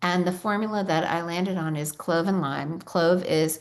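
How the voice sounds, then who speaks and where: Her voice is fairly low in pitch for a woman, with ordinary pitch variation. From New York. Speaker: essential oils company founder. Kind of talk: webinar presentation. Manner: fast.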